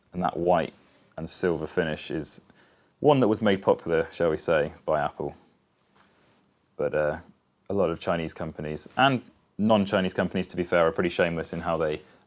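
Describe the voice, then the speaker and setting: A man with a British accent and a very deep, low voice talks at a moderate pace with ordinary pitch variation and long, frequent pauses, captured in a very clean recording with a silent background. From UK. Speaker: tech reviewer. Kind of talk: unboxing video. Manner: casual.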